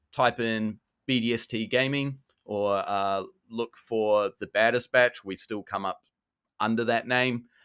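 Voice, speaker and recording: Speaking with an Australian accent, a man has a bright, sharp tone and fairly even intonation, recorded dry and close with no echo and a very clean, silent background. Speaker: podcaster and competitive card player. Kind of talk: podcast plug.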